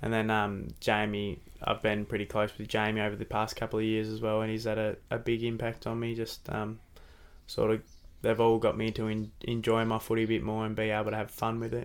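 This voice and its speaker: Over a silent background in a very clean recording, a man with an Australian accent speaks with monotone, flat intonation. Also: fairly low pitch for a man, fairly quick pace. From Devonport, Tasmania. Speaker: AFL footballer. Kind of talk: casual interview chat. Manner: softly spoken, shy.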